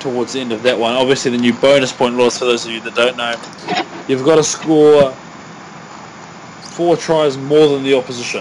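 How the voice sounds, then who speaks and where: Over noticeable background noise, a man with a New Zealand accent talks at a fairly quick pace, his medium pitch carrying fairly even intonation. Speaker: podcast co-host. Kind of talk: casual chat.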